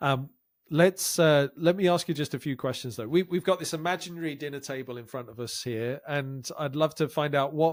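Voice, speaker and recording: On a very clean recording with a silent background, a man with a normal speaking voice and fairly high pitch talks at a moderate pace with ordinary pitch variation. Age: 50s. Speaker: podcast host. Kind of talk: podcast interview.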